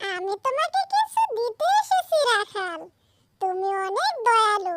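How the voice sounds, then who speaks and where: A squeaky, cartoonish character voice drawls at a very slow pace. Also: female-sounding voice, extremely high pitch for a woman. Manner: soft, kindly.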